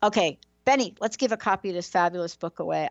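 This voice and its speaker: A woman speaks in a New York accent. Her pace is fairly quick. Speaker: talk show host. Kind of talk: interview show giveaway segment. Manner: animated.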